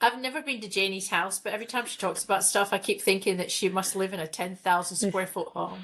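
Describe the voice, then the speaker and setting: A woman with a British accent speaks very fast, with hardly any pauses. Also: medium pitch for a woman, ordinary pitch variation. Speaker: podcast co-host. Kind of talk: casual chat.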